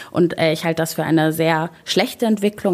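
A woman with an Arabic accent speaks with fairly even intonation. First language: Arabic (speaking German). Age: 20s. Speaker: local politician. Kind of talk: interview. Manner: frequent filler sounds.

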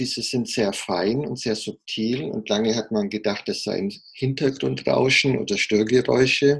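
A man with an ordinary speaking voice at medium pitch, fairly slow in pace, ordinary pitch variation, hardly any pauses. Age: 50s. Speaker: heart surgeon. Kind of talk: interview.

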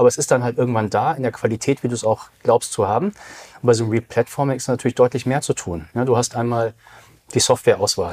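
A man talks at a very fast pace with a medium pitch and a dark, mellow tone. The sound is dry and close, with no echo. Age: 40s. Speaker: digital business consultant. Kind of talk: casual interview.

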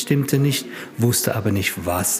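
Noticeable background noise runs under a man's medium-pitched voice. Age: 50s. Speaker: patient with myasthenia, support group member. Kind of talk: interview. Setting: support group meeting. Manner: halting.

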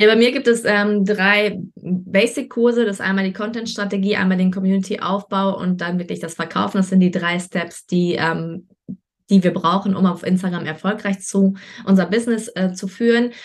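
A plain, everyday voice at a moderate pace with fairly even intonation. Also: woman, medium pitch for a woman. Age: 30s. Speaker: online marketing coach. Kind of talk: interview.

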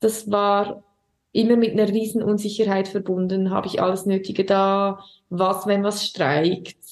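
With a Swiss German accent, a woman at medium pitch speaks fairly slowly in a monotone, flat intonation with very even loudness. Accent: Swiss German accent, audible. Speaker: singer and primary school teacher. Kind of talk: casual interview chat.

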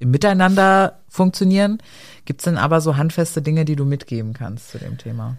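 Lively intonation runs through fairly quick speech. The recording is very clean, with a silent background. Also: woman, very deep, low pitch for a woman, big swings in loudness. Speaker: podcast co-host. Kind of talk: casual chat.

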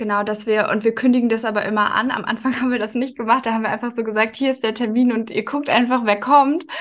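At a very fast pace and with hardly any pauses, a woman talks with fairly high pitch and fairly even intonation. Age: 20s. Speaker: marketing manager. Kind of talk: interview.

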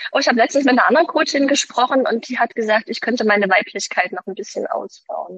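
The woman speaks with ordinary pitch variation. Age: 40s. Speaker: mother of three, former partner of a toxic ex. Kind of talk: interview about personal experience. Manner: hesitant, many fillers.

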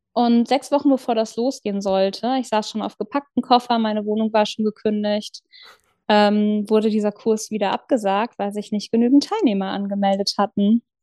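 A woman's fairly high voice has a dark, mellow tone and fairly even intonation at a moderate pace, with a dry, close sound and no echo. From northern Germany, Lower Saxony south of Hamburg. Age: 40s. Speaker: churchgoer sharing faith story. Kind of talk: personal testimony in casual interview. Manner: hesitant, many fillers.

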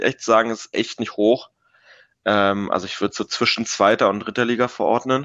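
Against a quiet background, a man speaks fairly quickly at medium pitch with fairly even intonation. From Berlin, Germany. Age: 20s. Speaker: student and youth football coach. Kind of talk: casual chat. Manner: hesitant, many fillers.

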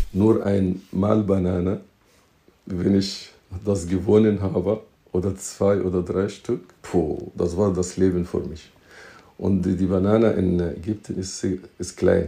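A man with an Arabic accent, very deep and low in pitch, somewhat breathy with a dark, mellow tone, monotone and flat, at a very slow pace with long, frequent pauses. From Egypt. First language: Arabic (speaking German). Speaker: teacher and entrepreneur. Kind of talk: interview. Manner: halting, with repetitions. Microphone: poor audio quality.

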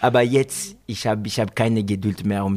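With a French accent, a man at a medium pitch speaks in a flat, monotone intonation. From France, Côte d'Azur, Guinean family. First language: French (speaking German). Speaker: professional footballer. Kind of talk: interview. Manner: halting.

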